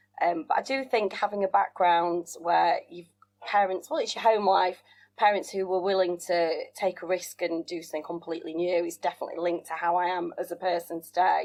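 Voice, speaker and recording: A woman talks with a northern English accent at a fairly quick pace. Her intonation is fairly even, and the background is quiet. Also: fairly low pitch for a woman. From West Yorkshire, northern England. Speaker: entrepreneur. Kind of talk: interview.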